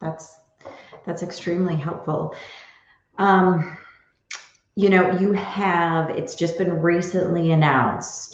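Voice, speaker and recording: A woman speaks at a very slow pace with long, frequent pauses. Her fairly low voice stays monotone and flat. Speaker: podcast host and interviewer. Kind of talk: interview, conversational.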